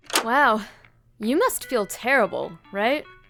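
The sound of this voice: A woman's put-on character voice, fairly high and fairly bright, with vocal fry, lively intonation and a slow pace over faint background music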